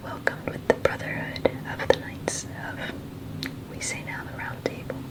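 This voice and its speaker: Noticeable background noise runs through as a woman whispers. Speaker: ASMR creator. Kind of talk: casual explanation to the listener, ASMR overexplaining. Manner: whispered, soft-spoken.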